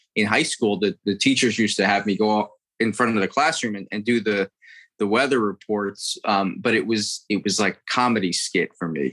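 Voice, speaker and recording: On a very clean recording with a silent background and a dry, close sound with no echo, a man with an American accent speaks at a moderate pace and fairly low pitch, with ordinary pitch variation. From Florida, US. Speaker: impressionist comedian. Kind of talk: casual interview chat with impressions. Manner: animated, switches into character voices.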